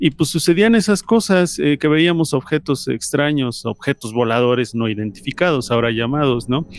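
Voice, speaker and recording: An ordinary speaking voice from a man, fairly high in pitch, at a moderate pace with lively intonation and hardly any pauses. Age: 40s. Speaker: podcast guest, music podcast contributor. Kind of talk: personal testimony.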